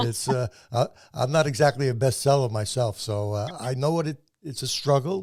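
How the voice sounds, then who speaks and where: A man talks at a medium pitch in a somewhat breathy voice. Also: ordinary pitch variation, moderate pace. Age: 80s+. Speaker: podcast host and self-published author. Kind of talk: interview. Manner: stammering repetitions.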